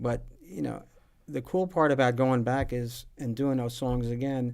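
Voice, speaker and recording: Here a man speaks with a New Jersey accent at medium pitch. His pace is fairly slow, with ordinary pitch variation. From northern New Jersey. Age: 60s. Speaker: musician. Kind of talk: casual chat. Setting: live stream from music shop.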